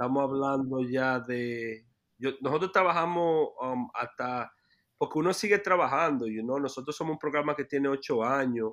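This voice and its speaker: Against a quiet background, a man speaks in a fairly high pitch at a moderate pace with ordinary pitch variation. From New York City, Washington Heights. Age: 30s. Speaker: youth basketball program director. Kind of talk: interview. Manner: halting, many repetitions.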